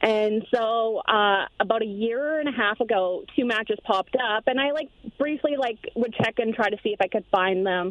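With a normal speaking voice, a woman talks at a moderate pace and a fairly high pitch, using ordinary pitch variation and hardly any pauses. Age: 30s. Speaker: caller. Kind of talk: testimony.

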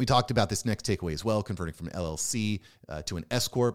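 A man talks at a very fast pace in an animated tone. The sound is dry and close with no echo, in a very clean recording with a silent background. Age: 40s. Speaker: podcast host and self-employed business owner. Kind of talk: solo podcast monologue.

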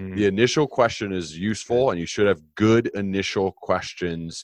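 A man with an American accent speaks at a moderate pace in a fairly low voice, with ordinary pitch variation, an energetic tone, and a dry, close sound with no echo. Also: quiet background. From United States. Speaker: podcast host and leadership author. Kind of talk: interview.

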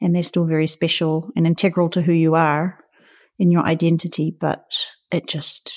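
In a very clean recording with a silent background, a woman with a New Zealand accent speaks at a moderate pace, her fairly low pitch held to fairly even intonation. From New Zealand, Auckland. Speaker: photographer and artist. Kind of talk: interview. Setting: in-person recording.

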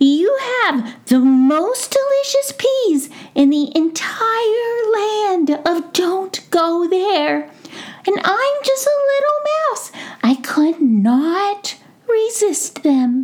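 Using a put-on character voice, a woman speaks very slowly in a squeaky, extremely high pitch that swings very widely. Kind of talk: bedtime story. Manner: cheeky, greedy, playful.

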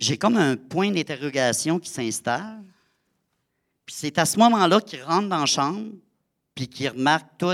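A man's fairly high voice with a Saguenay–Lac-Saint-Jean accent, lively intonation and big swings in loudness, at a fairly slow pace with long, frequent pauses, in a very clean, silent recording with a dry, close sound and no echo. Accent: Quebec French (Saguenay–Lac-Saint-Jean). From Quebec, Lac-Saint-Jean. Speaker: storyteller and theatre performer. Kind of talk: live storytelling performance. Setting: stage with audience.

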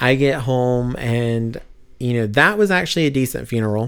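Pitched in the medium range, a man speaks at a fairly slow pace. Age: 30s. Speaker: podcast guest sharing personal loss story. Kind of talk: casual conversational testimony.

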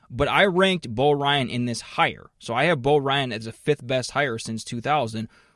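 Delivered by a plain, everyday voice, the speech keeps a moderate pace with hardly any pauses and ordinary pitch variation. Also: man, medium pitch for a man. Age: 30s. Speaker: sports podcast host. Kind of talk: casual chat.

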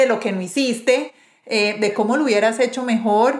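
With ordinary pitch variation, a woman's high-pitched voice carries through. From Colombia, Medellín. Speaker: podcast host. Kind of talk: interview conversation; scripted intro. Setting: video call.

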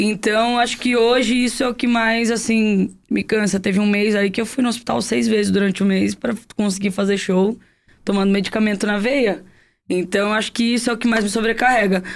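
A plain, everyday voice at a fairly quick pace, with very even loudness and fairly even intonation, on a very clean recording with a silent background. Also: woman, fairly high pitch for a woman. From Guarujá, São Paulo coast, Brazil. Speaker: singer-songwriter. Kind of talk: casual interview chat.

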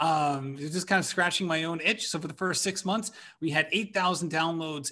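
Pitched high for a man, his voice has a bright, sharp tone and ordinary pitch variation against a quiet background. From Rhode Island. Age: 40s. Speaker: running podcaster. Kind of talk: casual interview chat.

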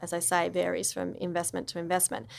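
At a fairly quick pace, a woman talks with an Australian accent in a fairly low pitch. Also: very clean recording, silent background. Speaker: impact investor. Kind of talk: interview. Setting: studio.

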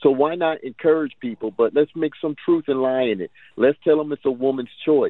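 With an ordinary speaking voice, a man talks at a moderate pace, his fairly high pitch showing ordinary variation. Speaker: street and prison ministry preacher. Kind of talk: call-in question on radio. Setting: phone call.

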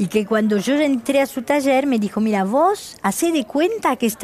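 Lively intonation at a fairly slow pace, with noticeable background noise. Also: woman. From France. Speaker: shoe designer. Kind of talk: interview.

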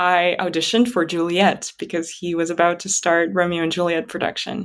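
In a very clean recording with a silent background, a woman with a Russian accent speaks at a moderate pace and fairly low pitch. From Kazakhstan. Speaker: musician and writer. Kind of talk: interview conversation. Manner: hesitant, many fillers.

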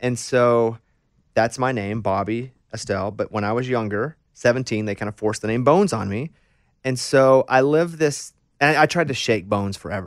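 A man with an American accent speaks at a medium pitch. His pace is moderate and his pitch variation ordinary. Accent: slight Southern accent, mostly trained away. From US South, Arkansas. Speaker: radio host. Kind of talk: casual interview. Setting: studio.

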